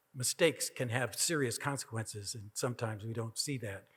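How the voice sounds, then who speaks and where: An American accent marks this man's speech at a medium pitch. His voice is somewhat breathy. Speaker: keynote speaker, professor. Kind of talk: Q&A answer.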